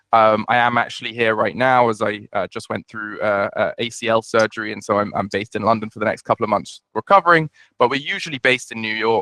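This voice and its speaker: Very fast and bright, sharp in tone, a man speaks with a British accent at a medium pitch, the sound dry and close with no echo. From UK. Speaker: startup founder and CEO. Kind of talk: webinar presentation. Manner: hesitant, many fillers and repeats.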